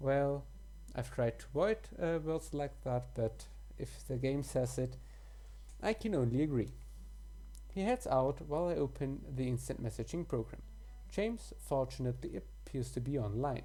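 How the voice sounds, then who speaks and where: A woman with a German accent, at a moderate pace, with long, frequent pauses. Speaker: let's play gamer. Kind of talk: reading game text aloud with commentary; casual commentary. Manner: halting.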